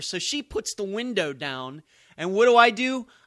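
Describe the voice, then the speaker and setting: With an American accent, a man speaks in a raised, projected voice with a bright, sharp tone at a moderate pace, captured dry and close with no echo on a very clean recording over a silent background. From Pennsylvania. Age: 40s. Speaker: podcast host. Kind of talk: solo political commentary.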